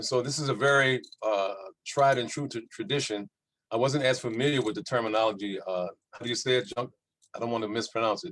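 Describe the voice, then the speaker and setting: His pitch shows ordinary variation. The man speaks at a very fast pace. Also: medium pitch for a man. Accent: American. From US South, New Orleans, Louisiana. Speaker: panelist on culture and resistance. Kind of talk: panel discussion.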